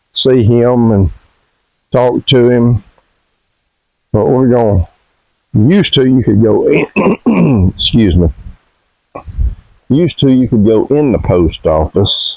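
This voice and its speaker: A man's medium-pitched voice with an Alabama accent, very slow in pace, dry and close with no echo. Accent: Southern US (Alabama). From US South (Alabama). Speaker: homestead vlogger. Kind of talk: casual vlog narration.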